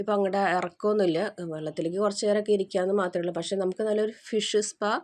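Against a quiet background, a woman with an unremarkable speaking voice talks at medium pitch with fairly even intonation. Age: middle-aged. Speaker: vlogger. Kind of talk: travel vlog narration. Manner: casual, chatty.

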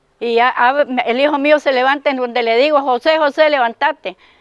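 The woman's voice has ordinary pitch variation and a dry, close sound with no echo. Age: 80s. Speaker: car owner, crime victim. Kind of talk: news interview testimony. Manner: halting.

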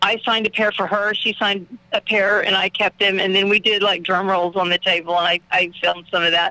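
A woman's medium-pitched voice in an Oklahoma accent, fairly quick and flat in intonation, with very even loudness. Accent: Oklahoma Southern US. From Oklahoma, Muskogee. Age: 50s. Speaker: drummer. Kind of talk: casual radio interview.

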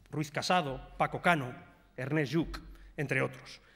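The speaker is a man. The background is quiet. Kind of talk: parliamentary speech. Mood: indignant, reproachful. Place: hall. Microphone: podium.

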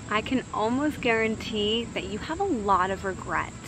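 Noticeable background noise sits under a woman's dry voice with no echo. She speaks at a fairly slow pace with ordinary pitch variation. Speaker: wellness vlogger. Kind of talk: casual motivational vlog talk. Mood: calm, warm. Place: garden.

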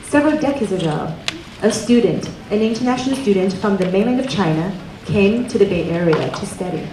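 Light background noise and audible room echo surround a woman talking at a moderate pace. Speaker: event host introducing speaker. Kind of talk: speech introduction. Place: hall. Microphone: handheld.

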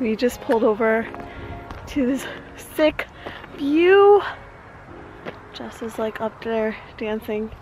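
Over background music, a woman speaks at a high pitch and a very slow pace. Her intonation is lively, and the sound is dry with no echo. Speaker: vlogger. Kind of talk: casual vlog chat. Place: open country. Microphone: phone near.

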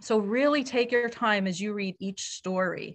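Over a quiet background, a woman talks at a fairly slow pace with ordinary pitch variation. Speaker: event host. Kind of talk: event hosting speech. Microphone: video call.

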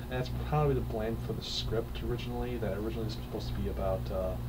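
Loud background noise runs through the recording. Over it, a man speaks at a very fast pace. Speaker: film reviewer. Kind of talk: casual review commentary. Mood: amused, critical. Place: home room. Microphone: webcam.

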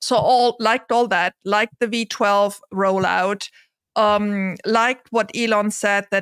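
A woman with a non-native accent at a fairly slow pace, monotone and flat in intonation, dry sound with no echo and a quiet background. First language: not English. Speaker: investor and content creator. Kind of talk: casual discussion. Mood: engaged, upbeat. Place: home room.

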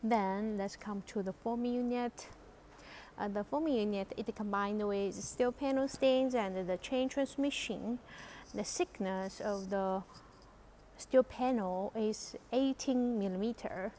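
With a dark, mellow tone and ordinary pitch variation, a woman speaks fairly slowly over light background noise. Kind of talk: product demonstration tour. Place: factory. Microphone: phone near.

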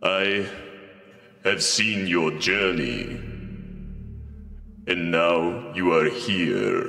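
A man uses a put-on character voice with a very deep, low pitch and a calm tone. He speaks at a very slow pace with long, frequent pauses, and there is slight echo. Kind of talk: archaic, formal diction. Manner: calm, cryptic, self-assured.

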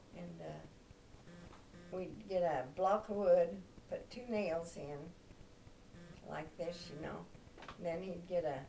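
A woman's fairly low-pitched voice over light background noise. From Kansas. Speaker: grandmother sharing memories. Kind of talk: oral history interview answer. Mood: warm, reminiscing. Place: home room. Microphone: camera far.

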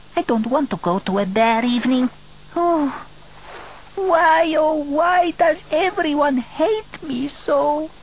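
In a cartoonish character voice, a woman speaks at a fairly slow pace with a high pitch over clear background noise. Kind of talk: acted cartoon dialogue. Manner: melodramatic, self-pitying, vain.

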